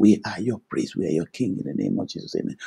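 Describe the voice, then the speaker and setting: The background stays quiet while a man talks. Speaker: preacher and prayer teacher. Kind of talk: fervent intercessory prayer, led aloud with Amens. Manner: fervent, declarative, commanding; rhythmic, repeating 'Thank you, Lord' and 'in the name of Jesus'. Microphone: video call.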